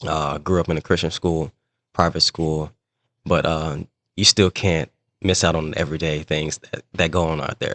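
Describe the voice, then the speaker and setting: At a moderate pace and with fairly even intonation, the speaker talks in an American accent, the sound dry and close with no echo over a quiet background. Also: man, very deep, low pitch for a man. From US Midwest, East St. Louis, Illinois. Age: 30s. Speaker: sports referee. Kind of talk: casual interview.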